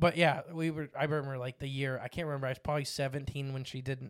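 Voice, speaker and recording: A man talks at a very fast pace with fairly even intonation and a fairly high pitch. The recording is very clean, with a silent background. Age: 20s. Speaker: podcast co-host. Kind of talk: casual chat.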